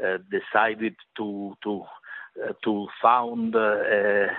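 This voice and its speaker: This is a man speaking. He has an Italian accent. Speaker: journalist. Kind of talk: interview. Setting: phone or video call. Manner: halting.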